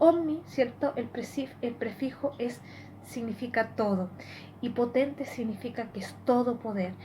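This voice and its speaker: A woman speaks at a fairly slow pace in a high voice with ordinary pitch variation, over noticeable background noise and audible room echo. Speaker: lay preacher. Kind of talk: sermon.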